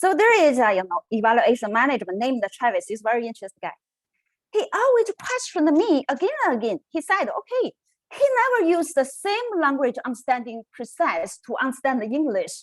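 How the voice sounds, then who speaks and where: A woman with a Chinese accent talks at a fairly quick pace in a high voice. Her pitch swings very widely, and the sound is dry and close with no echo. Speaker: researcher. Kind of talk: conference presentation. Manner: halting.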